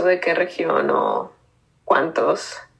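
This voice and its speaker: This woman speaks in a Bogotá accent. She goes at a very slow pace. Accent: Bogotá Colombian Spanish. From Colombia, Bogotá. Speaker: graphic designer. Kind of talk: interview. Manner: halting.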